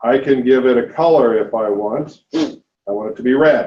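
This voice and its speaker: Here a man with an ordinary speaking voice talks at medium pitch with ordinary pitch variation. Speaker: seminar instructor. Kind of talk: lecture.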